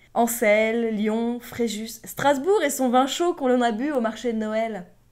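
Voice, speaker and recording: Music plays in the background as a woman speaks. Her pitch is high and her tone is playful. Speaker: voice-over narrator. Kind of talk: humorous personal story narration for cartoon. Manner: comic, playful.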